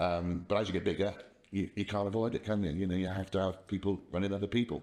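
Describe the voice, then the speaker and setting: A man's very fast, monotone delivery with flat intonation, very deep, low pitch and very even loudness, in an English accent against a quiet background. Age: 60s. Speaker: company founder. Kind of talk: casual interview. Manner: halting, repeats words.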